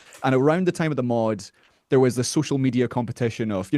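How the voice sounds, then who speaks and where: Against a quiet background with a dry, close sound and no echo, a man with a Scottish Highland accent talks very fast at a medium pitch with lively intonation. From far north of Scotland. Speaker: metal musician. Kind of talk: podcast interview.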